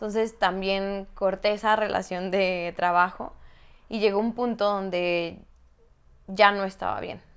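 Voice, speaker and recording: At a fairly slow pace, a woman speaks in a medium-pitched, monotone voice with flat intonation. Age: 20s. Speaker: life coach and kinesiologist. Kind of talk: personal testimony in interview.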